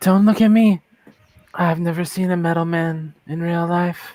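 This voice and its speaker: Using a put-on character voice, the speaker keeps a middle pitch and a moderate pace. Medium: actual play. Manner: languid, superior, dry.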